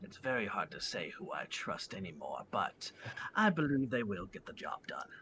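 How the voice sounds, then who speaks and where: A man puts on a character voice at a fairly high pitch. His tone is calm and his pace moderate. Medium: actual play. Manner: calm, courteous, old-fashioned.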